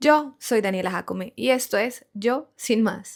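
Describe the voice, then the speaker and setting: A woman with a Colombian accent in a very clean recording with a silent background. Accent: Colombian Spanish, noticeable. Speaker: podcast host, content creator. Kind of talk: podcast monologue, reflective.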